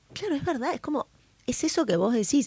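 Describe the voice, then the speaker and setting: In a porteño accent, a woman's voice swings very widely in pitch, with a dry, close sound and no echo. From Brazil and Buenos Aires. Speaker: podcast host. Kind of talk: casual interview chat.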